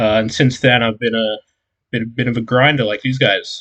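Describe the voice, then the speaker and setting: A man talks with an Australian accent at a moderate pace. His intonation is fairly even. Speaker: podcast co-host, card game player. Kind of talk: casual chat.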